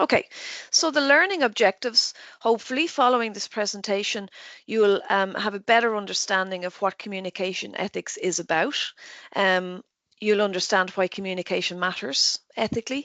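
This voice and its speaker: Talking at a fairly quick pace, a woman with an Irish accent uses ordinary pitch variation. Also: medium pitch for a woman. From Ireland. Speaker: nursing professor. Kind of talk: lecture. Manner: fast.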